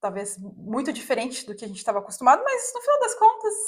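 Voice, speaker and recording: A woman talks at a fairly quick pace. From Brazil, Curitiba (Paraná). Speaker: vlogger. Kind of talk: casual chat.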